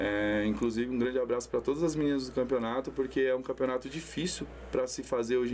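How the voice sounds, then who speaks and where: The pace is very fast as a man speaks. His voice sits at a medium pitch. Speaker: amateur football tournament organizer. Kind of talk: casual chat. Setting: studio.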